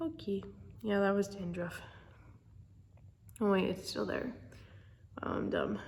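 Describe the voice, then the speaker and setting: Audible room echo surrounds a woman speaking at a fairly slow pace. She leaves long, frequent pauses, with ordinary pitch variation. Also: medium pitch for a woman. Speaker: vlogger. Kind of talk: casual vlog.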